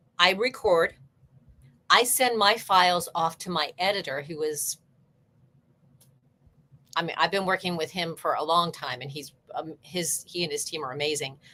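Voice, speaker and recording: With an American accent, a woman speaks at a fairly slow pace and fairly low pitch, using lively intonation. Long, frequent pauses break her speech on a very clean recording with a silent background. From United States. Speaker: audiobook narrator and voice actor. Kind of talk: interview answer about audiobook production.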